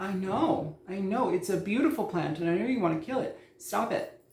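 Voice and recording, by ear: The intonation is lively. The tone is slightly mellow. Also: moderate pace.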